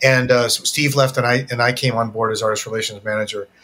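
A man with an American accent talks at a fairly quick pace, his tone bright and sharp and his intonation fairly even. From upstate New York, Syracuse. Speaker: former cymbal company artist relations manager. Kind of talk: casual interview chat.

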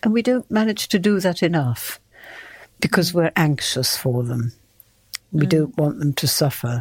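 A woman with a very deep, low pitch and a somewhat breathy voice speaks at a moderate pace with very wide pitch swings, very even loudness and long, frequent pauses, in a dry, close sound with no echo on a very clean recording with a silent background. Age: 70s. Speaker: retired yoga student, host's mother. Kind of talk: casual chat.

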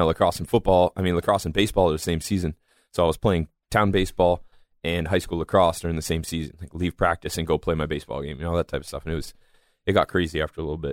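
A man talks at a very fast pace in a very deep, low voice with monotone, flat intonation. The recording is very clean with a silent background, and the sound is dry and close with no echo. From Massachusetts, north of Boston. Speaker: professional mixed martial artist and former lacrosse player. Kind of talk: casual podcast interview.

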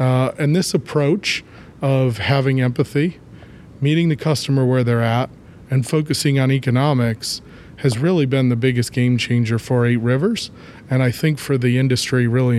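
A man talks at a moderate pace and medium pitch with fairly even intonation. It is a plain, everyday voice. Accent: American. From Ohio, US Midwest. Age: 30s. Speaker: clean energy company executive, chemist. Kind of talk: interview.

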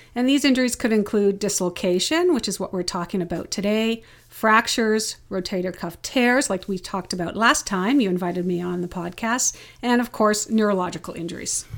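In a very clean recording with a silent background, a woman with a normal speaking voice talks at a fairly quick pace, her medium pitch varying in an ordinary way. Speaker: physiotherapist. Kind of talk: casual interview, journal review.

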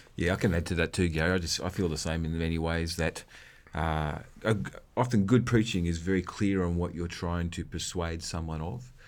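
With an Australian accent, a man talks at a fairly quick pace in a very deep, low voice with fairly even intonation. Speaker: podcast co-host. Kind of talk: casual conversational podcast discussion.

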